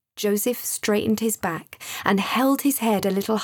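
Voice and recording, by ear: The pitch moves in an ordinary way. A natural voice reads the text aloud.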